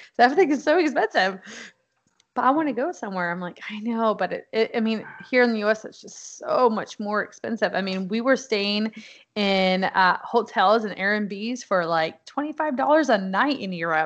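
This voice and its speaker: A plain, everyday voice at a fairly slow pace, with ordinary pitch variation, big swings in loudness and a quiet background. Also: woman. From Texas (Houston area). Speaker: Navy veteran, military spouse. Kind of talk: casual interview.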